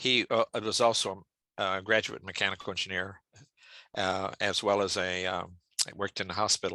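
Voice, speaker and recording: Against a quiet background, a man speaks at a moderate pace with long, frequent pauses, his fairly low voice bright and sharp in tone, flat and monotone, and the sound dry and close with no echo. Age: 70s. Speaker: structural engineering professor. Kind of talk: interview. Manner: halting.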